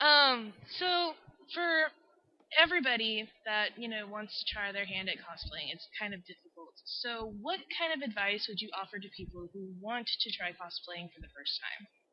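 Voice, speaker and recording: With a Texan accent, a woman speaks at a moderate pace in a fairly high pitch, her pitch swinging very widely and her loudness rising and falling sharply. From Texas. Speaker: interviewer. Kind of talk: interview.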